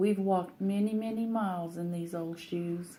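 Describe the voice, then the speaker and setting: A woman of medium pitch speaks at a moderate pace, her somewhat breathy voice carrying a dark, mellow tone and fairly even intonation. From Colorado, US (Trinidad). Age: 70s. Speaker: interviewee, retired worker. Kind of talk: interview.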